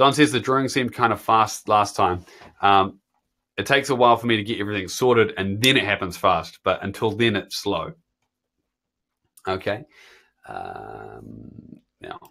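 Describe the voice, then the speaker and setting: A man speaks with a New Zealand accent at a moderate pace. He leaves long, frequent pauses, and the recording is very clean with a silent background. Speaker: guitar teacher. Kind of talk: live stream chat reading viewer comments. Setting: live stream. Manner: casual, filler-heavy.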